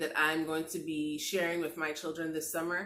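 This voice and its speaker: A woman with a bright, sharp tone speaks at a moderate pace in a fairly low pitch. Room echo is audible. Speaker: lifestyle vlogger. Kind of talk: craft tutorial vlog.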